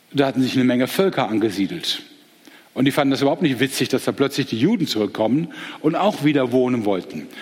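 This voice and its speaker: A man's medium-pitched voice with lively intonation over noticeable background noise. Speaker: teacher giving a Bible talk. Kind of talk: Bible lecture. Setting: live audience with slides.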